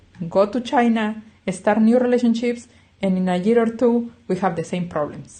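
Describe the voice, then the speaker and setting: A woman speaks with a non-native accent. Her fairly high voice has a dark, mellow tone. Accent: non-native English speaker. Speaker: clinical psychologist. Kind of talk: self-help talk. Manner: conversational, frequent 'yeah?' tags.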